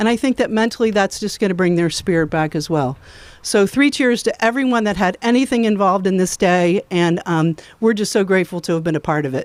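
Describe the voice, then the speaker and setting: In a plain, everyday voice, a woman speaks fairly quickly at a medium pitch with lively intonation on a very clean recording with a silent background. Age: 60s. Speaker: foundation representative. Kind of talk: ceremony speech. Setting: outdoors.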